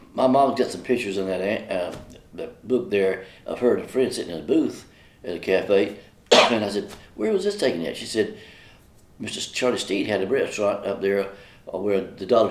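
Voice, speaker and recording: Audible room echo surrounds this fairly quick delivery. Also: man. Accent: Southern US. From Jackson, South Carolina. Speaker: local resident sharing memories. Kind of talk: oral history interview.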